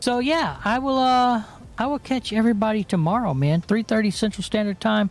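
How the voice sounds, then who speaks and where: In a relaxed tone, a man speaks at a high pitch and a fairly quick pace. His intonation is lively and his loudness very even. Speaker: gaming streamer. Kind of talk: casual stream sign-off. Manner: relaxed, filler-heavy.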